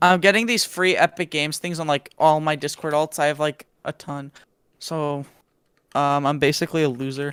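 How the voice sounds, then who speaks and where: A man with a fairly high pitch speaks at a moderate pace. The sound is dry and close with no echo, and the recording is very clean with a silent background. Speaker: IT co-worker. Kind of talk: casual chat. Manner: energized, excited.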